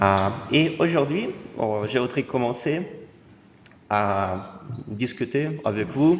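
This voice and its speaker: A man with a slight Russian accent, medium pitch, lively intonation and a very slow pace, with long, frequent pauses, noticeable background noise and audible room echo. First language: Russian (speaking French). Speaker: university lecturer. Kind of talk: lecture. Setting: lecture hall with students. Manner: halting, frequent hesitations.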